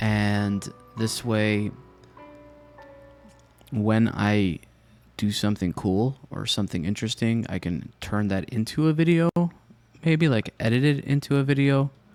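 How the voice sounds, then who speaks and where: Soft-spoken and relaxed in tone, a man with a fairly low pitch uses lively intonation and long, frequent pauses over music in the background. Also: fairly slow pace. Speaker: Minecraft let's play content creator. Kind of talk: casual talk to camera, gameplay commentary. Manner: soft-spoken, relaxed, unhurried.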